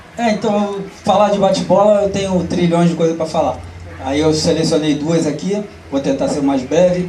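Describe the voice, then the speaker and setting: A man's high voice at a moderate pace, with ordinary pitch variation, long and frequent pauses, audible room echo and noticeable background noise. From Rio de Janeiro, Marechal Hermes. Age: 60s. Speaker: bate-bola community member. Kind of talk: panel talk.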